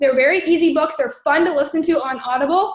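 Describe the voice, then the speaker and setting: A woman talking at a very fast pace with ordinary pitch variation. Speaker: network marketing trainer. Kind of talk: training livestream. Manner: animated.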